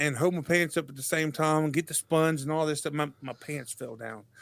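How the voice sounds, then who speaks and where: Using an ordinary speaking voice, a man speaks at a fairly high pitch with ordinary pitch variation, recorded dry and close with no echo, very clean with a silent background. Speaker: podcast host. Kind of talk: casual chat.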